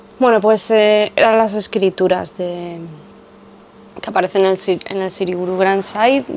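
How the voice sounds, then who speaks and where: A woman speaks at a fairly slow pace and medium pitch. Her intonation is fairly even, with noticeable background noise behind her. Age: 30s. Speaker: former yoga teacher and video creator. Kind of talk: casual monologue to camera.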